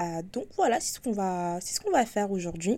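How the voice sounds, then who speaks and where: This woman's tone is dark and mellow. Her pitch is medium, with ordinary variation. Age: 20s. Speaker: podcast host. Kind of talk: casual monologue. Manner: hesitant with fillers.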